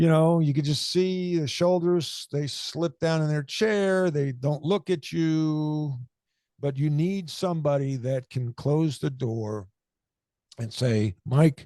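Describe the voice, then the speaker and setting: With an American accent, a man speaks at a very slow pace in a fairly high pitch with a dark, mellow tone and ordinary pitch variation, against a quiet background. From US Northeast, Long Island. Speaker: former basketball coach and author. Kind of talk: podcast interview. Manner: loud.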